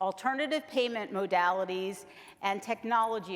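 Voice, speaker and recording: This woman has a normal speaking voice at a medium pitch. Her pace is moderate, with ordinary pitch variation. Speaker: health plan executive. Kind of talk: conference presentation. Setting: conference room with live audience.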